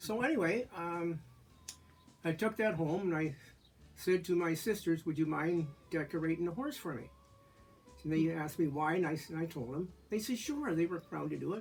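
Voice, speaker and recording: Against music in the background, a man with a high pitch talks at a moderate pace with ordinary pitch variation and long, frequent pauses. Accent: Canadian. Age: 70s. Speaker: community elder sharing memories. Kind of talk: casual storytelling interview. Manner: halting, with many fillers.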